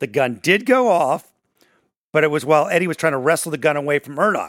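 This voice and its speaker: A man's fairly high-pitched, plain, everyday voice with lively intonation, dry and close with no echo, on a very clean recording with a silent background. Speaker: podcast host and morning radio personality. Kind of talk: casual true crime discussion.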